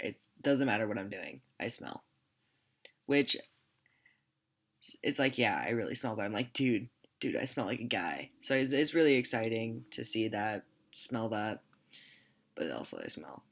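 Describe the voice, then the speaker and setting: With long, frequent pauses and vocal fry, a man with a medium pitch talks at a moderate pace. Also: ordinary pitch variation. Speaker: vlogger. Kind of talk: casual vlog update. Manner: casual, filler-heavy.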